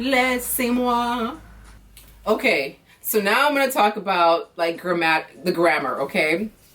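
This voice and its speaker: With an American accent, a woman speaks at a fairly high pitch and fairly slow pace, with very wide pitch swings and very even loudness over noticeable background noise. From United States. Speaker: vlogger. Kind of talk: casual vlog monologue. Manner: casual, filler-heavy; switches between English and non-native French.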